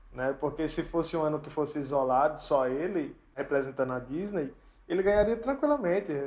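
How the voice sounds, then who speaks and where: A man with a fairly high pitch talks at a moderate pace in a plain, everyday voice. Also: ordinary pitch variation. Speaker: podcast owner and co-host. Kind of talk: casual chat.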